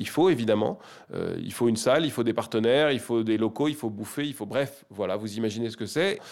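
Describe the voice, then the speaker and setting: A man talks at a fairly quick pace with medium pitch and ordinary pitch variation, in a plain, everyday voice. The recording is very clean, with a silent background. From France, Paris. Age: 40s. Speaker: nonprofit network director. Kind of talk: interview.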